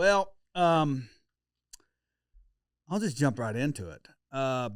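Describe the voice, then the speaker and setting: With an Oklahoma accent, the speaker talks at a very slow pace with very wide pitch swings, captured in a very clean recording with a silent background. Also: man, fairly high pitch for a man. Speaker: podcast host. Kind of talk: casual podcast chat. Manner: informal, with hesitations.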